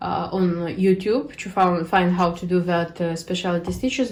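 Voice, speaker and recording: Woman with a non-native accent at a moderate pace. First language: not English. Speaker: cross stitch video creator. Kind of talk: casual show-and-tell vlog. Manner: halting, many fillers.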